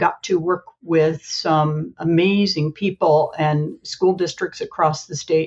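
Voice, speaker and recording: The voice is somewhat breathy. It belongs to a woman with an American accent. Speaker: special education consultant. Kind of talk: casual chat.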